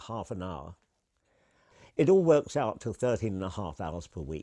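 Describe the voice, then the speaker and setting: A man with an English accent talks at a moderate pace in a dark, mellow tone. His pitch sits fairly low, and the background is quiet. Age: 80s+. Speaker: retired cab driver and carer's husband. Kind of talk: testimony.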